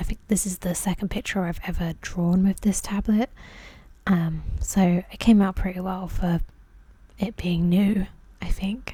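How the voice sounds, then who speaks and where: Soft-spoken and somewhat breathy, a woman talks at a moderate pace with a medium pitch and a dark, mellow tone. Her intonation is monotone and flat. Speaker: ASMR artist. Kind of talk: tutorial-style voiceover. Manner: casual, hesitant.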